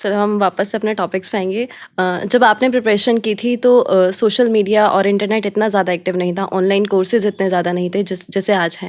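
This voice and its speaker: A woman at medium pitch, monotone and flat, with hardly any pauses. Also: moderate pace. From Rajasthan, India. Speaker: podcast host. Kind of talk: interview.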